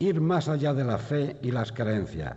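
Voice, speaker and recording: Talking at a fairly slow pace, a man shows vocal fry and lively intonation. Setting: stage with audience in theatre. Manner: solemn, measured, rhetorical, fervent.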